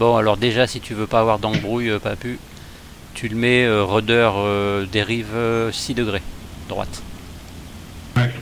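Over music in the background, a man talks at a fairly slow pace with long, frequent pauses. His pitch is fairly low and his intonation monotone and flat. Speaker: flight sim streamer leading group flight. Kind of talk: casual live commentary. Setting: voice chat with other players.

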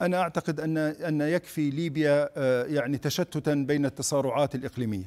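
At a moderate pace, a man with a fairly high pitch speaks with ordinary pitch variation. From Libya, raised in Tripoli; Libya. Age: 50s. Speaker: politician and presidential candidate; politician, candidate. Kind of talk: TV news interview; interview answer. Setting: studio. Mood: earnest, firm. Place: studio. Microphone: lapel.

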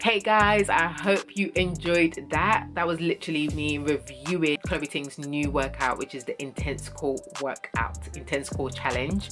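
A woman speaks at a fairly slow pace as clear music plays in the background. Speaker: fitness vlogger. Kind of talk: casual vlog chat.

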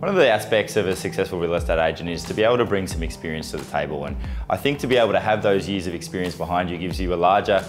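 With clear music in the background, a man speaks very fast in a very deep, low pitch. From Australia (Melbourne). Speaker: real estate agent and auctioneer. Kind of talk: corporate profile talking to camera. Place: office. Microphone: lapel.

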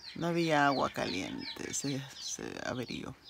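A woman's voice over noticeable background noise. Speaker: vlogger. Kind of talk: casual vlog narration. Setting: outdoors at home with animals. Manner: animated.

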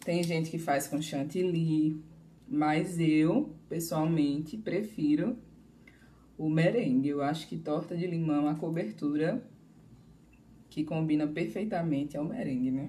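A woman with a dark, mellow tone and a very deep, low pitch speaks at a fairly slow pace, leaving long, frequent pauses. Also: ordinary pitch variation. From Bahia, Brazil. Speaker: pastry chef giving a live class. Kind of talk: live cooking class streamed online. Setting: live stream.

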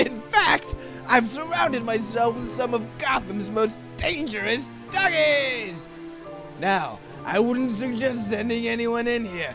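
A man's put-on character voice, high-pitched and fairly slow, with clear music in the background. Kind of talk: audio drama. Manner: theatrical, mocking.

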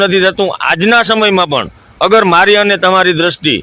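A high-pitched man speaks in a raised, projected voice with fairly even intonation. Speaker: video blogger interviewing a holy woman. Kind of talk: casual interview with narration to camera.

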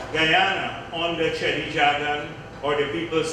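Speech comes at a fairly slow pace through strong room echo and noticeable background noise. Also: man. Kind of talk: political speech. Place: hall.

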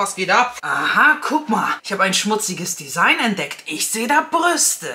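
A woman speaks at a fairly high pitch. Light background noise sits behind her. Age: 30s. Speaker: beauty YouTuber. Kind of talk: product unboxing vlog. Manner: animated. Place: home room.

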